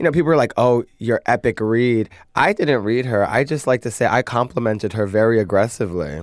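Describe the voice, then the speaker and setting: In a very clean recording with a silent background, a man with an American accent uses a normal speaking voice, a medium pitch, ordinary pitch variation and a fairly quick pace. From US Northeast (Brooklyn, New York). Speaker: drag queen, reality show contestant. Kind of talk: casual interview.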